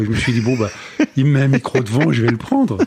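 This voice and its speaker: Very fast talk from a man at medium pitch. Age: 60s. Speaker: former radio broadcaster and actor. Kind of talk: casual interview.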